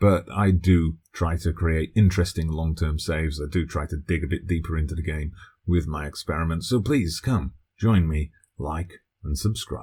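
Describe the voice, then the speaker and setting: Very deep and low in pitch, a man's somewhat breathy voice has a dark, mellow tone and ordinary pitch variation. The recording is very clean, with a silent background. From UK. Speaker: gaming video creator. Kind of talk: channel self-introduction.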